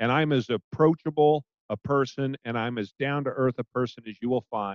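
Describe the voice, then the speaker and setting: A man with a plain, everyday voice and an American accent, at medium pitch and moderate pace, with ordinary pitch variation and a dry, close sound with no echo. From Portland, Oregon. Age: 50s. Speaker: podcast host and business owner. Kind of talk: casual interview.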